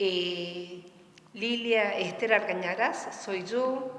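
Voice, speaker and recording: A woman speaks very slowly in a room with audible echo and noticeable background noise. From Argentina, Río Cuarto, Córdoba. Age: 60s. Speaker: poet, retired municipal employee. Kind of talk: interview conversation. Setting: theatre hall.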